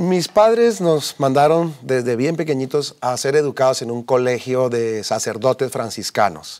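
A man at a fairly slow pace with lively intonation and hardly any pauses, over a quiet background. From Colombia, Bogotá. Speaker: businessman giving faith testimony; interview guest. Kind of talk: testimony interview. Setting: TV studio. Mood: earnest, reflective. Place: studio. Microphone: lapel.

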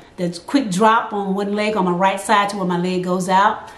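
A woman speaks at a moderate pace in a fairly high pitch and an animated, energetic tone. Audible room echo surrounds her voice. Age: 50s. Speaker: vlogger sharing health experience; vlogger sharing her health experience. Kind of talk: casual vlog talk to camera. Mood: earnest, encouraging. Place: home room.

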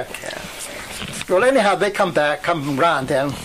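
A man at a fairly high pitch amid noticeable background noise. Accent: Western Pennsylvania. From Western Pennsylvania, USA. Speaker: World War II veteran. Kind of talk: oral history interview answer.

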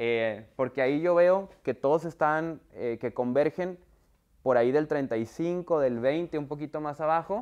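At a very slow pace, a man speaks with a fairly high pitch and ordinary pitch variation against a quiet background. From northern Mexico, Monterrey. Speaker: software company trainer for universities. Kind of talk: workshop presentation. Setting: video call with screen share. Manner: conversational, many fillers. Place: classroom. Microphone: lapel.

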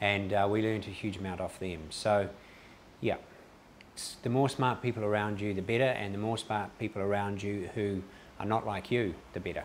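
With a New Zealand accent, a man speaks at a moderate pace in a fairly low voice, with fairly even intonation, long and frequent pauses, and light background noise. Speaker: entrepreneur; interviewee. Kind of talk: interview. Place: office. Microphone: lapel.

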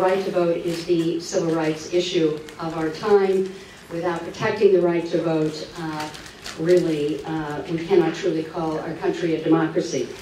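A woman speaks at a fairly low pitch with monotone, flat intonation. Audible room echo and light background noise surround her voice. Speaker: speaker. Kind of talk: public talk. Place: hall.

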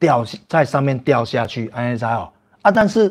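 Over a quiet background, a man speaks at a moderate pace with lively intonation. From Taiwan. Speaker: livestream host. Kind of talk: casual livestream chat with viewers. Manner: animated. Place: home room. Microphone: lapel.

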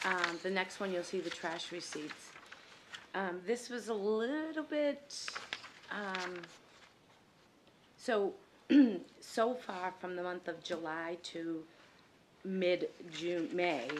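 A woman at a very slow pace, with long, frequent pauses over light background noise. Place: meeting room. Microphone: podium.

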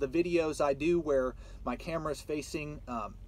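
A man is speaking. The sound is dry, with no echo. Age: 20s. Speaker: truck driver and YouTuber. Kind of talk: casual vlog monologue. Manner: casual with many fillers. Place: car. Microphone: phone near.

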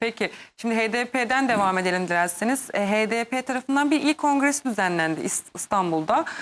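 A woman talks at a moderate speed. Her pitch swings across a very wide range. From Kurdish Turkey. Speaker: TV news host. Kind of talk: TV interview.

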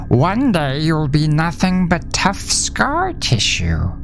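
A put-on character voice comes through over clear background noise. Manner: soft, coaxing, eerily tender.

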